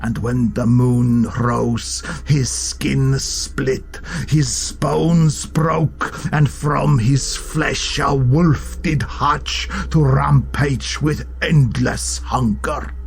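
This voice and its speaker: Against clear background noise, a man does a put-on character voice at a very slow pace. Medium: read story. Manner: low, threatening, dramatic.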